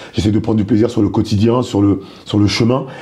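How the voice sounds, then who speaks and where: A man speaks at a very fast pace. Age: 30s. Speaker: stand-up comedian. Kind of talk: interview.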